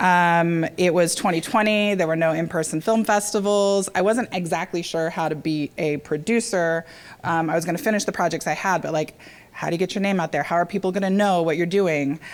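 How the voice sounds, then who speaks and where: A woman with an American accent talks at a fairly quick pace and a fairly low pitch. Her intonation is fairly even. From US South. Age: 40s. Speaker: documentary film producer. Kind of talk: keynote speech. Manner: hesitant, many fillers.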